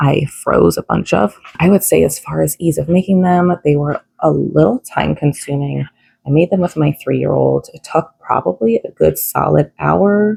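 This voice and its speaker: A woman is whispering at a fairly slow pace. The sound is dry and close, with no echo. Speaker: vlogger mom. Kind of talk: casual vlog tutorial. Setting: home kitchen. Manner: casual with fillers.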